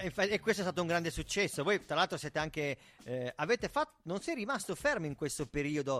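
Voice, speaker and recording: A man talks very fast in a fairly high pitch, his tone animated. The sound is dry and close, with no echo. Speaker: radio host. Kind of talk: casual chat. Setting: studio.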